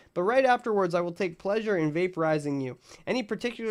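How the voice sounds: Lively intonation in a natural reading voice.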